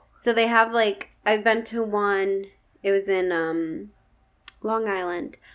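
A woman with an American accent speaks very slowly at a medium pitch, with ordinary pitch variation. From upstate New York, Schenectady. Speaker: podcast guest, host's fiancée. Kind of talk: casual chat. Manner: giggly.

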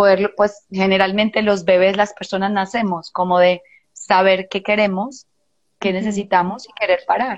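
Her delivery is monotone and flat, with a medium pitch and a moderate pace, as this woman talks. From Colombia, Medellín. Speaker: psychologist and therapist. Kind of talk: casual chat. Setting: video call.

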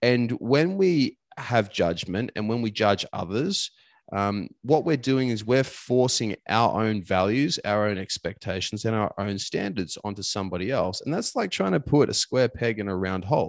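Dry and close with no echo on a very clean recording with a silent background, a man with an Australian accent speaks at fairly low pitch and a moderate pace, with lively intonation and hardly any pauses. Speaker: performance coach. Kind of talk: casual chat.

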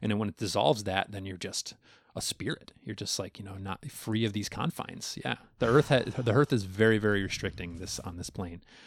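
A man's plain, everyday voice, fairly low in pitch, at a fairly quick pace with ordinary pitch variation and big swings in loudness, dry and close with no echo, on a very clean recording with a silent background. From Long Island, New York. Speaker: content creator. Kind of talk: casual interview chat.

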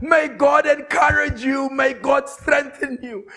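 A man shouts in a raised voice at a slow pace, his fairly bright tone edged with vocal fry.

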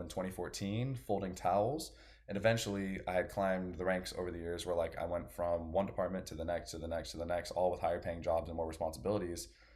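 With audible room echo around him, a man talks very fast in a very deep, low pitch with ordinary pitch variation. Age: 20s. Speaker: personal trainer and natural bodybuilder. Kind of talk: casual chat.

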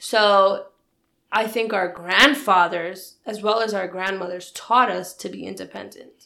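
A woman speaks fairly slowly at a medium pitch, with a bright, sharp tone and vocal fry. Her intonation stays fairly even while her loudness swings widely. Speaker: podcast co-host. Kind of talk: casual conversation.

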